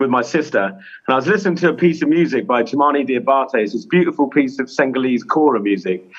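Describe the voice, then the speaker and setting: With an English accent, a man talks at a very fast pace, his pitch swinging very widely. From England. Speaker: clown and children's charity founder. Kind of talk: interview. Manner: animated.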